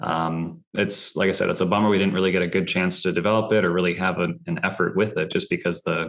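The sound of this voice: A man with a low pitch and a fairly bright tone speaks fast, his intonation fairly even.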